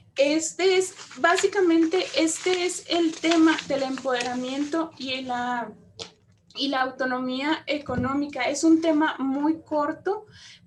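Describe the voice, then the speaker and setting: A woman at a high pitch and a very slow pace, with ordinary pitch variation and noticeable background noise. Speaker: lecturer on women's economic empowerment, public prosecutor. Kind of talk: lecture.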